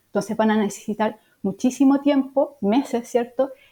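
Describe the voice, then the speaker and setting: A woman's high voice with a dark, mellow tone and a Chilean accent. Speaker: veterinarian and professor. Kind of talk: interview.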